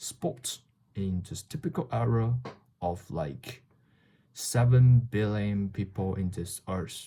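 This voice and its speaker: A man's very slow, fairly low voice with a Chinese accent, somewhat breathy, with a dark, mellow tone and lively intonation, on a very clean recording with a silent background. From China. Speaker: vlogger. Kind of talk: casual monologue. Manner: halting.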